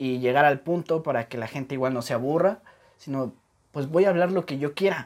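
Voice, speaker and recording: Talking at a fairly quick pace, a man uses a normal speaking voice pitched fairly high. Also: ordinary pitch variation. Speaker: podcast host. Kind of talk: casual interview chat.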